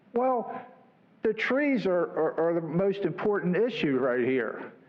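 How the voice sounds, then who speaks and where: A man with a high pitch at a fairly slow pace, amid audible room echo and noticeable background noise. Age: 70s. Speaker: resident speaking at public comment. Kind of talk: public comment at council meeting. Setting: city council meeting, at podium mic. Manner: halting, many fillers.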